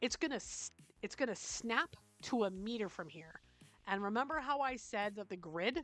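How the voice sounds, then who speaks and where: A woman with a Canadian accent speaks at a moderate pace with fairly high pitch and lively intonation, with music in the background. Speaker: gaming tutorial youtuber. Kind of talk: tutorial. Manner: casual, conversational.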